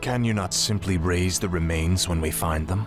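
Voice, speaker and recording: Loud music plays behind a man using a put-on character voice. His pitch is very deep and low, and his pace is moderate. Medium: machinima. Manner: cold, arrogant.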